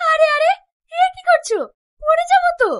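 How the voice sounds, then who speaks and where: A woman speaks at a moderate pace in a squeaky, put-on character voice. Her pitch is extremely high, with very wide swings. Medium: short film.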